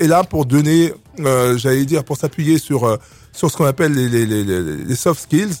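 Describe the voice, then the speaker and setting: This man speaks at a very slow pace with a fairly high pitch. His intonation is lively. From Republic of the Congo, raised in Clichy-sous-Bois, Paris suburbs. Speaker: association president. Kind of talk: radio interview. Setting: radio studio. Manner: halting.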